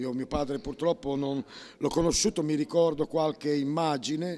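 Fairly high speech from a man, dark and mellow in tone. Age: 60s. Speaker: pianist. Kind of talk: interview.

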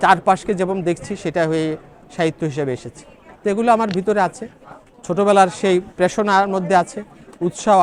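A man speaks with a high pitch. Noticeable background noise runs behind him. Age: 60s. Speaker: novelist and psychology professor. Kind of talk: interview.

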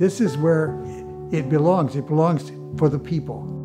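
A man with an American accent, fairly slow and with lively intonation, over clear music in the background. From Detroit. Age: 80s+. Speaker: artist. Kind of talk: interview answer. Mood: warm, enthusiastic reminiscing. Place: studio.

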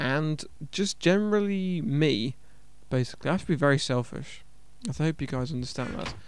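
A man's voice with ordinary pitch variation, dry with no echo, over light background noise. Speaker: gameplay commentator. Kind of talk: casual gaming commentary.

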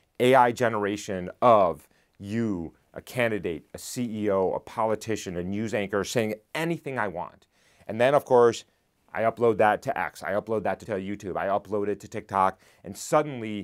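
Over a quiet background, a man talks with a fairly low pitch. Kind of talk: interview answer. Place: studio. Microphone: lapel.

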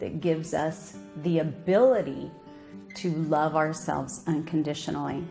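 Faint music plays behind a woman speaking at a very slow pace. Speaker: minister giving a talk. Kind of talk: sermon. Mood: calm, earnest. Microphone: podium.

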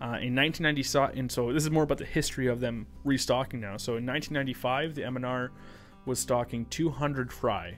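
A man with fairly even intonation, faint music in the background. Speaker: podcast host. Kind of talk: podcast conversation, reading facts. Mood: light, laughing. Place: studio. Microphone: studio mic.

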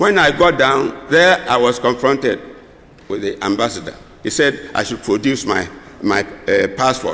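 The speaker is a man with a Ghanaian accent. His intonation is lively. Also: moderate pace. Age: 70s. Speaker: retired civil servant; guest. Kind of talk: formal speech. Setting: stage with audience at convention. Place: hall. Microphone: podium.

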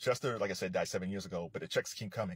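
Talking at a very fast pace, a man is heard against a quiet background in a dry recording without echo. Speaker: commentator. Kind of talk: casual commentary. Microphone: phone near.

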